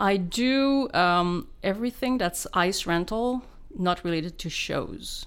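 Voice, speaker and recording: At a very slow pace, a woman speaks with a Quebec French accent and lively intonation at medium pitch. The recording is very clean with a silent background. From Quebec, Laurentians (Val-David). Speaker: sound engineer. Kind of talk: interview.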